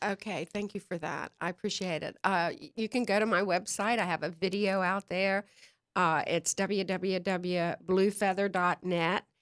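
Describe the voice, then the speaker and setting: With a Southern accent, a woman talks at a medium pitch and a moderate pace, her intonation fairly even. The recording is very clean with a silent background, dry and close with no echo. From North Carolina. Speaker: psychic medium. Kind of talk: interview. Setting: live stream show.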